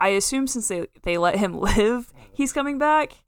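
In an American accent, a woman with an ordinary speaking voice talks at a fairly slow pace with ordinary pitch variation. The recording is very clean, with a silent background. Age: 20s. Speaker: film podcast co-host. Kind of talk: casual chat.

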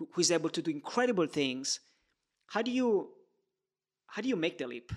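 With an Italian accent, a man speaks at a fairly high pitch using lively intonation. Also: very clean recording, silent background. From Italy. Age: 20s. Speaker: podcast host. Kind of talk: interview conversation.

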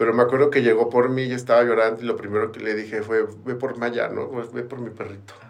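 A man with a Mexican accent speaks at a medium pitch in a flat monotone, going very fast with hardly any pauses. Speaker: recovering addict. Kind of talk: testimony.

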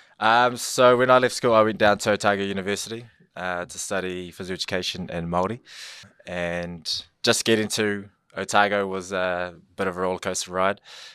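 A man with a New Zealand accent speaks at a fairly quick pace and a fairly low pitch, with fairly even intonation. His loudness swings widely, and the recording is very clean with a silent background. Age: 30s. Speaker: school liaison officer. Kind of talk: casual interview chat.

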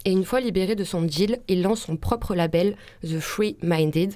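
A woman's dark, mellow tone moves with lively intonation. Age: young. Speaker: radio columnist. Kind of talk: radio segment.

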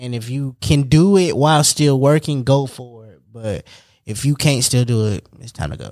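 On a very clean recording with a silent background, an unremarkable speaking voice moves at a moderate pace with ordinary pitch variation and big swings in loudness. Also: man, medium pitch for a man. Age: 20s. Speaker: podcast co-host. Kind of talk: casual chat.

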